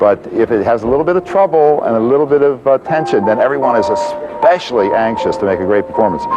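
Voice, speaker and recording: A man with an American accent speaks at a very fast pace. Music plays in the background. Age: 70s. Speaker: choral conductor. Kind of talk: interview. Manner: halting.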